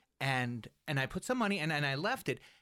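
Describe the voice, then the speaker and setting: Bright and sharp in tone, a man's fairly high voice moves at a fairly quick pace on a very clean recording with a silent background. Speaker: podcast co-host. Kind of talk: casual interview chat.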